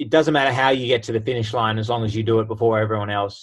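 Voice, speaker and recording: With an Australian accent, a man talks at medium pitch with fairly even intonation. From Australia, Sydney. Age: 20s. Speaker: Olympic sprinter. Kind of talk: casual interview.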